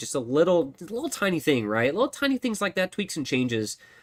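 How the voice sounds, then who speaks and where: A man talks at a fairly quick pace with lively intonation. The recording is very clean, with a silent background. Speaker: tech solution architect hosting live Q&A stream. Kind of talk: live stream tutorial and Q&A. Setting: live stream on camera. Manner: fast; animated.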